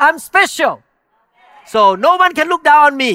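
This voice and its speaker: Raising and projecting his voice, a man speaks at an extremely high pitch in a bright, sharp, animated tone with very wide pitch swings. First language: not English. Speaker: pastor. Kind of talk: sermon. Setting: church.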